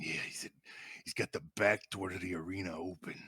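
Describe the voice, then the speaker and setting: A man puts on a raspy character voice. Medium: actual play.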